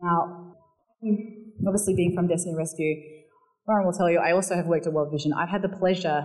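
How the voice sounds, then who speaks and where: A woman with a South Australian accent speaks at a fairly low pitch, her intonation fairly even and her tone dark and mellow. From Barossa Valley, South Australia. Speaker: charity worker giving a church talk. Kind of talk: sermon-style church talk. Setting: church.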